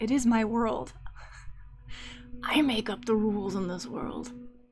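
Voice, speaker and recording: Fairly slow, fairly high-pitched speech from a woman with an American accent, music in the background. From US Midwest. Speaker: artist live streamer. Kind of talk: live stream talking while drawing. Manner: casual, talking to herself.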